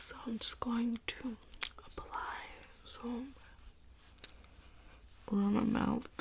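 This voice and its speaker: The speaker is soft-spoken. There is noticeable background noise. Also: woman. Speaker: ASMR creator. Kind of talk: makeup tutorial talk to camera.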